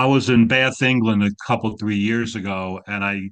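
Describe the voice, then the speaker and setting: Over a quiet background, the speaker uses fairly even intonation at a moderate pace with a slight New York accent. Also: man. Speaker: graduate counseling student. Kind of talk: casual chat. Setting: video call.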